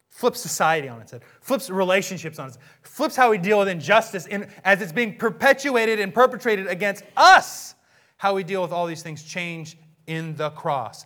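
In a raised, projected voice, a man with a high pitch and a bright, sharp tone sounds animated, using lively intonation, big swings in loudness and a moderate pace. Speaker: pastor. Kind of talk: sermon. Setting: church.

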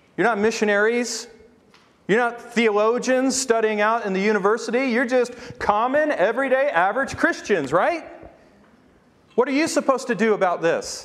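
A loud, booming man's voice moves at a moderate pace with ordinary pitch variation. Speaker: preacher. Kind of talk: sermon. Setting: church.

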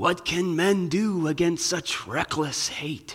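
A man uses a put-on character voice pitched high. He goes at a fairly slow pace with fairly even intonation. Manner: despairing, resigned.

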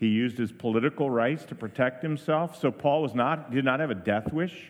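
This man has a normal speaking voice, medium in pitch, with ordinary pitch variation. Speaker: pastor and seminary president. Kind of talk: commencement address, preaching charge to graduates. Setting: church. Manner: earnest, exhortational, formal.

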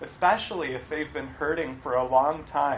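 There is audible room echo. A man talks with an American accent. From US Midwest, Cleveland, Ohio. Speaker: pastor. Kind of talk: sermon.

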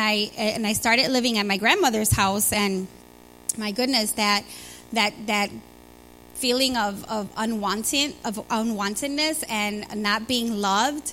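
With a Chicago accent, a woman talks at a fairly slow pace. Her voice is fairly high in pitch, with a bright, sharp tone. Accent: Chicago American. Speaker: church member sharing testimony. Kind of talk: testimony. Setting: church with congregation.

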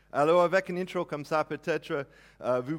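Ordinary pitch variation in an American accent. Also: man. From United States. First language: English (speaking French). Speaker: pastor. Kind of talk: sermon. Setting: church.

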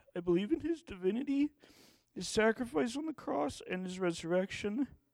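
A man with a high pitch and lively intonation, in a dry, close sound with no echo. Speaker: church member giving baptism testimony. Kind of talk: testimony. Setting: church.

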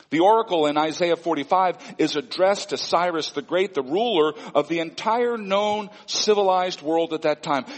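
Someone with an American accent talks at a moderate pace, with hardly any pauses. Noticeable background noise sits behind the voice. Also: man, high pitch for a man, ordinary pitch variation. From Missouri Ozarks, US. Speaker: pastor. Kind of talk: sermon.

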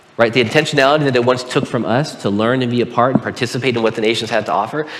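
Talking very fast, a man with an American accent has a medium pitch. Audible room echo and noticeable background noise fill the recording. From Southern California (Pomona). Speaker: pastor. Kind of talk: sermon.

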